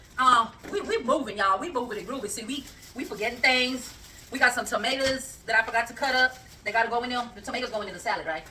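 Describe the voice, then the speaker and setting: A loud woman speaks at a very fast pace in an animated tone, with a high pitch and ordinary pitch variation. Noticeable background noise sits behind her. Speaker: cooking channel host. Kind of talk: casual cooking vlog chat.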